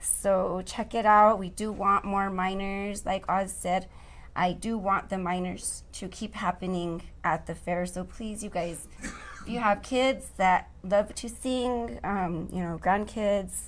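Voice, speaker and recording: Music plays in the background as a woman speaks very slowly. Her pitch is medium. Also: fairly even intonation. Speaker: sales account executive, karaoke singer. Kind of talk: casual chat. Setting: live online show.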